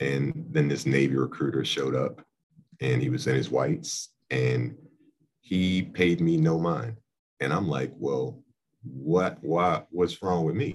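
The speech moves at a fairly slow pace with vocal fry. Its intonation is lively. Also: man, very deep, low pitch for a man. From Philadelphia, Pennsylvania, US. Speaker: navy veteran and college outreach director. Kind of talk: casual chat.

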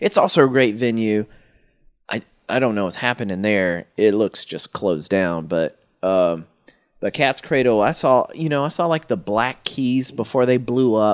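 A man with an American accent and a normal speaking voice talks at a moderate pace and medium pitch, his intonation lively. The very clean recording has a silent background and a dry, close sound with no echo. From North Carolina (Stokes County). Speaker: podcast host. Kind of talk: casual chat. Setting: in a garage.

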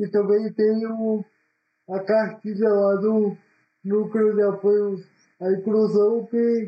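A man speaks in a high voice at a very slow pace. His intonation stays flat and monotone. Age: 20s. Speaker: university student, podcast co-host. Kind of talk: casual chat.

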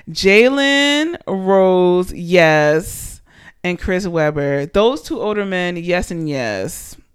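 On a very clean recording with a silent background, a woman speaks in an animated tone at a medium pitch. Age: 20s. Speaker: podcast host. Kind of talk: casual solo monologue.

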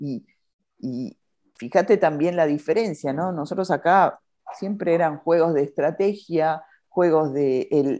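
Fairly slow and very deep, a woman with an Argentine accent speaks in a dark, mellow tone. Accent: Argentine Spanish (Rioplatense). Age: 50s. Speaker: podcast host. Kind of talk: casual interview chat.

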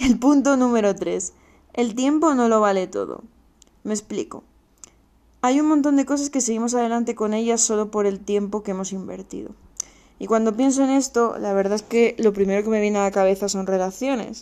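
Fairly high in pitch, a woman's voice has a dark, mellow tone. She keeps a moderate pace with ordinary pitch variation. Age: 20s. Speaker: podcast host. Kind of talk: solo podcast monologue. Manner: casual, chatty.

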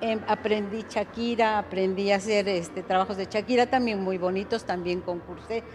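Noticeable background noise sits behind a woman talking at a fairly quick pace. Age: 70s. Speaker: retired mathematics teacher. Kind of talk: interview.

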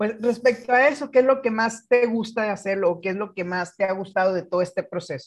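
This man's voice is high-pitched. He talks very fast. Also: ordinary pitch variation. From Guaymas, Sonora, Mexico. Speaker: teacher podcast co-host. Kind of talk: casual chat.

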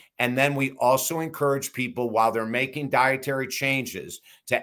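A man with a normal speaking voice talks at a fairly quick pace, his pitch medium. The recording is very clean, the background silent. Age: 60s. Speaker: addiction recovery author and counselor. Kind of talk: casual interview.

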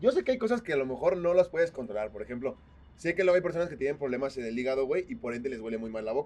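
Very fast and with lively intonation, a man speaks in a Mexican accent. His pitch is fairly high. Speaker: podcast co-host. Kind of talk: casual chat.

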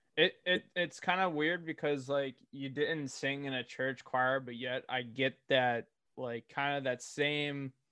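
Speaking with an American accent and a plain, everyday voice, a man keeps a fairly high pitch and fairly even intonation at a fairly slow pace with hardly any pauses. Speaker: podcast host. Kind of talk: casual interview chat.

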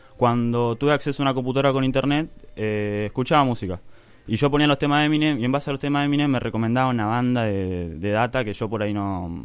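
A man talks at a very fast pace in an Argentine accent. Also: medium pitch for a man, ordinary pitch variation. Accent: Argentine Spanish (Rioplatense). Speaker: rapper. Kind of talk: interview.

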